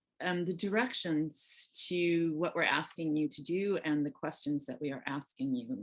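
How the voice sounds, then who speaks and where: A woman with a very deep, low pitch talks at a fairly slow pace. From United States. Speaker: workshop facilitator. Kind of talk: workshop facilitation.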